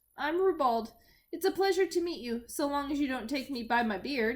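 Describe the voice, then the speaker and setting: Putting on a character voice, a woman speaks in a cheerful tone at a high pitch and a moderate pace. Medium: read story. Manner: cheerful, hearty.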